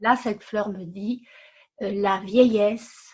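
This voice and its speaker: This somewhat breathy voice moves at a very slow pace with ordinary pitch variation. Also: woman, quiet background. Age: 70s. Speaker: webinar participant. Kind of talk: casual chat. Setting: video call webinar.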